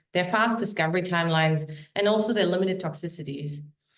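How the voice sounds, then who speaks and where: With audible room echo, a woman talks at a very fast pace, her fairly low pitch varying in an ordinary way. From Germany. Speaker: biotech company founder and CEO. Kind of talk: startup investor pitch; self-introduction in a webinar. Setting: online webinar.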